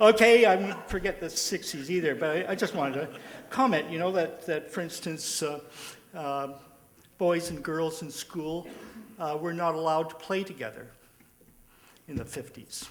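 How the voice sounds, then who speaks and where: Over noticeable background noise, a high-pitched man speaks at a moderate pace with ordinary pitch variation and long, frequent pauses. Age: 70s. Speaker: audience member. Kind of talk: audience comment at panel discussion. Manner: halting, many fillers.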